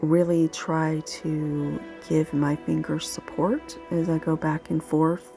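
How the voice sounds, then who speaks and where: Over music in the background, a woman speaks very slowly in a very deep, low pitch with monotone, flat intonation. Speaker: massage therapist. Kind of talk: instructional narration. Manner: soothing, calm.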